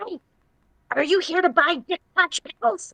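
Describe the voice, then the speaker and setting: This squeaky put-on character voice sits at an extremely high pitch. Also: moderate pace. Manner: goblin-like, mischievous.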